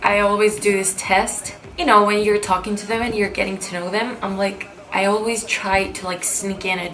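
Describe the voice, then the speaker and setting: A woman speaks at a moderate pace. Audible room echo and noticeable background noise surround her voice. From Cyprus. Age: young. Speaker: beauty YouTuber. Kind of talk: casual Q&A vlog. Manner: animated.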